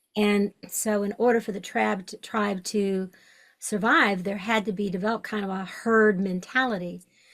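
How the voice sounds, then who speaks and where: A woman with an American accent has a plain, everyday voice at medium pitch. She keeps a moderate pace and fairly even intonation. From US South, Western Kentucky. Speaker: shamanic podcast host. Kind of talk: interview conversation.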